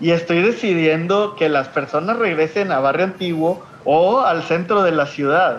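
Delivered in a strong Monterrey accent, the speech goes at a fairly slow pace with hardly any pauses, very even loudness and ordinary pitch variation over noticeable background noise. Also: man, high pitch for a man. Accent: strong northern Mexican (Monterrey). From Mexico, Monterrey, Nuevo León. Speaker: social entrepreneur. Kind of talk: interview. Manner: frequent hesitations and repetitions.

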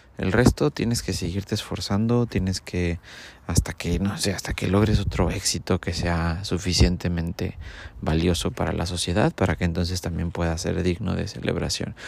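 On a very clean recording with a silent background, a man talks at a moderate pace with a very deep, low pitch and ordinary pitch variation. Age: 30s. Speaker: podcaster. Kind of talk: casual monologue.

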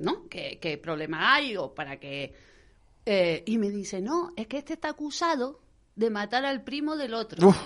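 A woman's fairly high voice at a fairly slow pace, with very wide pitch swings, big swings in loudness and a quiet background. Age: 40s. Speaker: wedding planner and business owner. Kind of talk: radio interview, casual chat.

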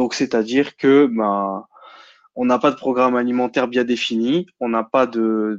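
A man speaks at a medium pitch and a fairly slow pace, with fairly even intonation. The sound is dry and close with no echo, and the background is quiet. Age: 20s. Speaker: bodybuilding and nutrition enthusiast. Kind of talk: casual chat. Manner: halting.

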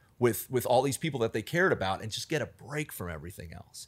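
A man speaks with an American accent and vocal fry. The recording is very clean, with a silent background. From US Mid-Atlantic (Alexandria, Virginia, near DC). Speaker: bar manager. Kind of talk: casual chat.

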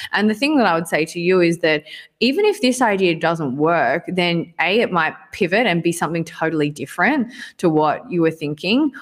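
This woman has an unremarkable speaking voice with lively intonation, a fairly low pitch and a moderate pace. Her recording is very clean, with a silent background. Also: very even loudness. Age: young. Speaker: digital agency founder. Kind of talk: interview.

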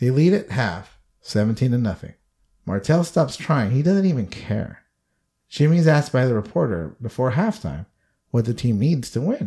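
On a very clean recording with a silent background, a man's dark, mellow, somewhat breathy voice moves through very wide pitch swings. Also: medium pitch for a man, moderate pace. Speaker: podcast host. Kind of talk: casual chat, movie review podcast.

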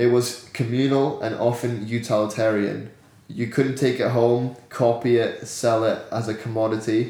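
A man's medium-pitched monotone at a moderate pace, with audible room echo. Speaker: podcast host. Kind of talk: casual chat.

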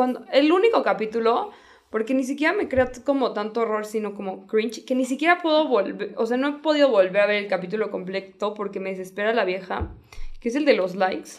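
A woman speaks with a fairly high pitch. Her pace is fairly quick. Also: lively intonation. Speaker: podcast co-host. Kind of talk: casual chat.

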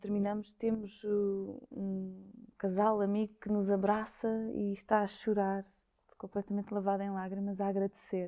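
The woman has a dark, mellow tone at a medium pitch. Her intonation is monotone and flat. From Lisbon, Portugal. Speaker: dancer and choreographer. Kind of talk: interview.

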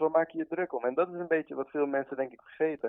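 The speaker uses an ordinary speaking voice at a moderate pace, with ordinary pitch variation. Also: man. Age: 20s. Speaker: tattoo artist. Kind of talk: casual interview chat.

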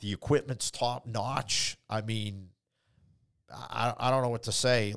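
A man with a fairly low pitch talks at a fairly slow pace. His pitch varies in an ordinary way, and the recording is very clean with a silent background. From immigrant, grew up in Boston area. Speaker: car dealership owner. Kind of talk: casual chat. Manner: laughs often.

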